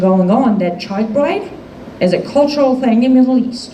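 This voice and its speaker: A woman speaks at a fairly high pitch and a fairly slow pace with lively intonation. Audible room echo and noticeable background noise come through. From Iran. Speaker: activist speaker. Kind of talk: public talk to a live audience. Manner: animated.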